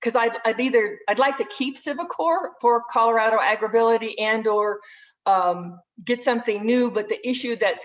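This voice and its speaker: Her voice sits fairly high for a woman. Its rise and fall in pitch is ordinary. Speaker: rehabilitation program staff. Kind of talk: webinar presentation. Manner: fast.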